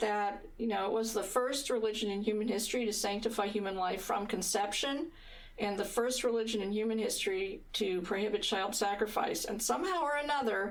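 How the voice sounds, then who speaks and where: A woman's fairly high voice with an American accent and audible room echo. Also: ordinary pitch variation, fairly quick pace. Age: 60s. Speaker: pro-life activist, foundation head. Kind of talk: monologue to camera. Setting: on camera. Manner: conversational, with fillers.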